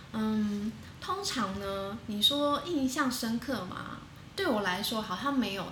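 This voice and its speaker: A woman's fairly high, fairly slow voice with lively intonation, amid audible room echo and noticeable background noise. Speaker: women's rights advocate. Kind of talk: interview. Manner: halting, many fillers.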